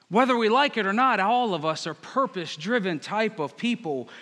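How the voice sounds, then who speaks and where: A man's raised, projected voice, high and bright with a sharp tone, lively intonation and a moderate pace. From Northern Virginia. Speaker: pastor. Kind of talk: sermon.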